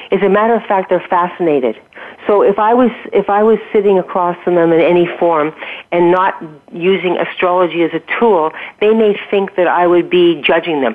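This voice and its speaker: Noticeable background noise surrounds a woman's fairly low voice. Her loudness stays very even, with ordinary pitch variation. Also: moderate pace. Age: 60s. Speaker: health and wellness coach. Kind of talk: interview. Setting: radio show.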